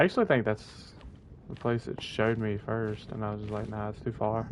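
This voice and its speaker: A man speaks at a fairly quick pace in a fairly low voice. His intonation is monotone and flat. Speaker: gaming streamer. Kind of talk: live gameplay commentary. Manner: fast, words get mixed up.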